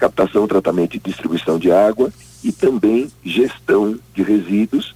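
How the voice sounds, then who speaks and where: A man talks at a fairly slow pace in a fairly low voice. His tone is dark and mellow, and the sound is dry and close with no echo. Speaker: environmental science professor. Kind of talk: interview.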